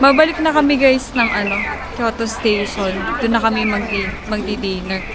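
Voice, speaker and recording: Noticeable background noise and audible room echo surround a woman at a moderate pace. Her fairly high voice shows ordinary pitch variation. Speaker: travel vlogger. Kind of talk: casual vlog narration.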